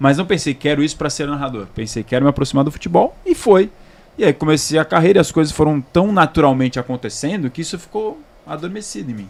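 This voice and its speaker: This man talks at a very fast pace, his fairly high pitch carried by lively intonation. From Santos, São Paulo state, Brazil. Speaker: sports narrator, former field reporter. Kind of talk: casual chat.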